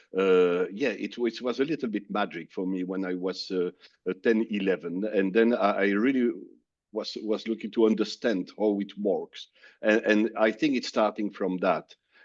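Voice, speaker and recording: A man speaks with a French accent at a fairly low pitch. His pace is moderate and his pitch varies in an ordinary way. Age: 60s. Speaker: business executive. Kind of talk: interview. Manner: halting, many fillers.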